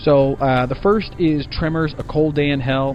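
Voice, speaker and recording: With noticeable background noise behind him, a man talks at a fairly high pitch with fairly even intonation. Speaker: movie review vlogger. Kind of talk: casual vlog review. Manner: fast.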